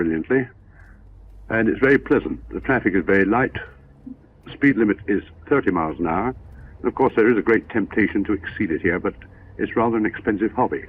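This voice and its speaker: With a Gloucestershire accent, a man speaks in lively intonation, leaving long, frequent pauses. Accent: posh Gloucestershire, rhotic. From Gloucestershire, England. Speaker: driving instructor, advanced motoring examiner. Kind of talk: 1960s sponsored film driving commentary.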